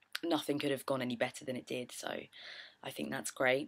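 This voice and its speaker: A woman speaks very fast with a British accent. Her pitch is very deep and low, with vocal fry. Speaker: witchcraft vlogger. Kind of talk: casual vlog chat.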